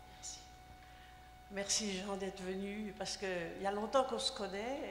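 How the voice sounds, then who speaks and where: Amid audible room echo and noticeable background noise, a woman speaks at a fairly slow pace with ordinary pitch variation. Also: medium pitch for a woman. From Haiti. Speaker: audience member. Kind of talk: audience comment.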